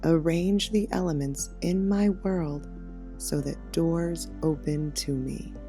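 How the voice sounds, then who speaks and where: A soft-spoken woman talks at a very slow pace. Music plays in the background. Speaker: meditation guide. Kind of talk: guided meditation.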